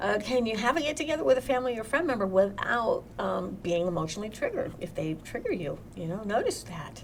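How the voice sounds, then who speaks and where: Over noticeable background noise, a woman talks very fast with hardly any pauses. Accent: American. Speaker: spiritual workshop host. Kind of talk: live online workshop with chat.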